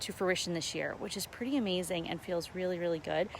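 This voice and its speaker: A woman speaks at a medium pitch. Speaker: fitness and lifestyle vlogger. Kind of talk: casual live stream chat. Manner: animated.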